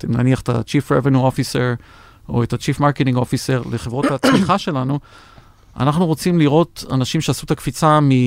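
A man talks at a fairly quick pace in a normal speaking voice, his pitch medium with ordinary variation. The sound is dry and close, with no echo. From Israel. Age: 60s. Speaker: venture investor and former tech executive. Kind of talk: interview. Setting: studio.

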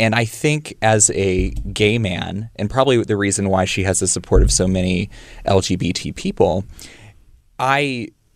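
Speaking at a fairly slow pace, a man uses an unremarkable speaking voice, fairly low in pitch, with ordinary pitch variation. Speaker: young LGBT activist podcaster. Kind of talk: casual chat.

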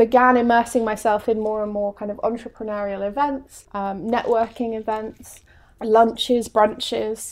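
A woman with an English accent speaks in a fairly high pitch with monotone, flat intonation. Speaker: coach. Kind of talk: casual interview chat.

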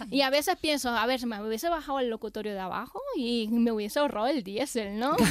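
A woman talks at a very fast pace with hardly any pauses, her pitch high and its variation ordinary, over noticeable background noise. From Venezuela. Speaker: comedian. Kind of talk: casual chat.

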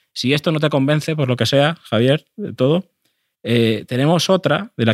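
Recorded very cleanly against a silent background, a man speaks at a moderate pace with ordinary pitch variation, the sound dry and close with no echo. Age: 30s. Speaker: football podcast co-host. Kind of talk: casual chat. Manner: halting.

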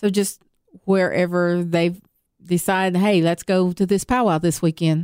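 In a Southern accent, a woman speaks at a moderate pace with a fairly low pitch, monotone, flat intonation and very even loudness, in a dry, close sound with no echo. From Tennessee, US South. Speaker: powwow organizer. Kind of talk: interview. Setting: studio.

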